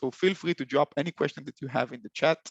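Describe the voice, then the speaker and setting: Here a man speaks with a non-native accent and ordinary pitch variation. The sound is dry and close, without echo. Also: quiet background. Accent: foreign. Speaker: software company solutions consultant. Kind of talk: webinar presentation. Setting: online webinar. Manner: halting, many fillers and repeats.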